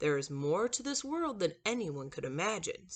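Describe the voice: A man's put-on character voice, high-pitched, at a moderate pace, with very wide pitch swings.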